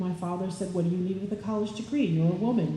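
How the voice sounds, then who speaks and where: With an American accent, a woman speaks at a medium pitch amid noticeable background noise and audible room echo. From upper Midwest, Wisconsin. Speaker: political candidate, college professor. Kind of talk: candidate forum speech.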